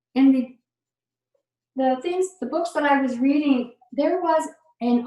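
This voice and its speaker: Her voice high, a woman speaks at a fairly slow pace. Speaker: lecturer. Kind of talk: lecture. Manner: halting.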